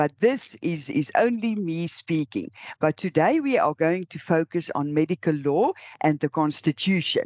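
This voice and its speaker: Against a quiet background, a woman with an Afrikaans accent speaks at a fairly slow pace and fairly low pitch with lively intonation, the sound dry and close with no echo. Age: old. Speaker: law lecturer. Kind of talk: lecture. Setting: recorded online lecture with slides. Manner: halting.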